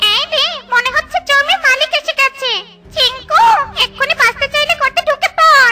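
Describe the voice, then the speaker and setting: An extremely high, cartoonish character voice speaks at a moderate pace while faint music plays in the background. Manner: excitable.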